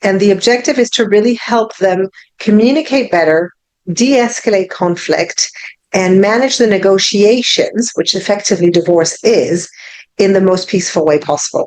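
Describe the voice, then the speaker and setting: This woman has a medium pitch with ordinary pitch variation, very even loudness and a moderate pace. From France, Paris. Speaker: divorce coach. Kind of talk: online presentation.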